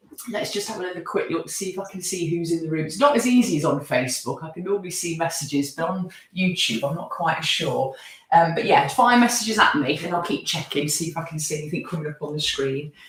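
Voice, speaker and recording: Over noticeable background noise, a woman with a fairly low pitch speaks at a very fast pace with lively intonation. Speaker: yoga teacher. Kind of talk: live online yoga class instruction. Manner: calm, guiding.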